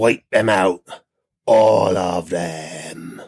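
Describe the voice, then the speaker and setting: Putting on a character voice, a man uses a raspy, very deep, low pitch with ordinary variation and a West Country accent as part of the act. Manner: menacing.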